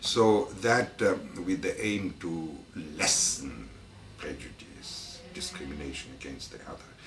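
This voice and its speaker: Speech at a very slow pace comes with big swings in loudness, noticeable background noise and audible room echo. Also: man. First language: French. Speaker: anthropology professor. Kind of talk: interview. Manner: halting, many fillers.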